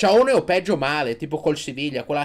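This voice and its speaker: A man speaks loudly in an animated tone. Noticeable background noise runs underneath. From Italy. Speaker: sports YouTuber, Inter fan commentator. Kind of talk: angry rant. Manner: loud, sarcastic, ranting. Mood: mocking, excited ranting. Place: home room. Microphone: studio mic.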